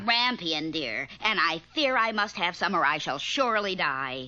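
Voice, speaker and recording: A female-sounding voice does a cartoonish character at a fairly low pitch and a moderate pace. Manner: theatrical.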